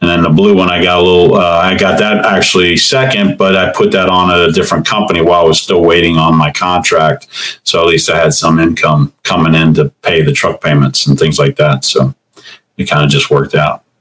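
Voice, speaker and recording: A man with a Midwestern American accent, very deep and low in pitch, ordinary pitch variation, very even loudness and a fairly quick pace. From Ohio, Cincinnati. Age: 50s. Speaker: truck owner-operator and Marine veteran. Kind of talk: casual interview.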